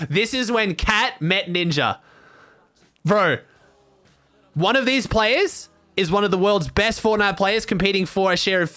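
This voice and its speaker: An animated man with a high voice speaks in an Australian accent at a moderate pace. Music plays in the background. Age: 20s. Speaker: streamer. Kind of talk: casual chat.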